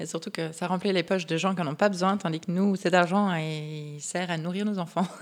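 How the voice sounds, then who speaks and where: Delivered at a fairly quick pace in a monotone, flat way, the speech sits on a very clean recording with a silent background. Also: woman, fairly low pitch for a woman, hardly any pauses. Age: 30s. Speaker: craft brewery partner. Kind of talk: interview.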